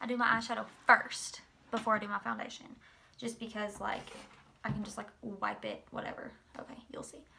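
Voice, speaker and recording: Fairly quick speech with long, frequent pauses over noticeable background noise. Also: woman, big swings in loudness. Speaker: beauty vlogger. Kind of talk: makeup tutorial. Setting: at home in apartment, late night. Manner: quiet, trying not to be loud; casual, filler-heavy.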